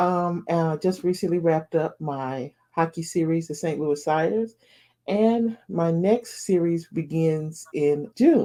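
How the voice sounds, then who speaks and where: A woman's fairly low voice with a dark, mellow tone, a fairly slow pace and ordinary pitch variation. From US South. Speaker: romance author. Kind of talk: interview.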